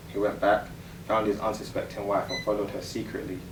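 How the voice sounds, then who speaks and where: A man with a fairly low voice speaks fairly quickly in a monotone, flat intonation, with noticeable background noise present. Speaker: spoken word poet. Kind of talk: spoken word poetry performance.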